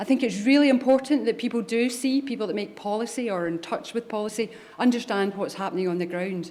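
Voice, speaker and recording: Speaking with a Scottish accent, a woman with a fairly high pitch talks at a very fast pace with ordinary pitch variation. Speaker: government chief pharmacist. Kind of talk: conference keynote speech. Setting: stage with audience.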